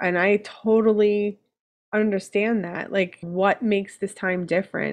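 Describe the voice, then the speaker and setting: A woman speaks at a medium pitch and a fairly slow pace. Her intonation is monotone and flat over a quiet background. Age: 40s. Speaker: weight loss surgery patient; podcast guest. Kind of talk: casual chat. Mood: relaxed, candid. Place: home room.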